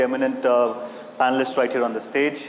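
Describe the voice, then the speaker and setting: In a room with audible echo and light background noise, a man talks at a moderate pace. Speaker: talk show host, moderator. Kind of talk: event moderation. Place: hall.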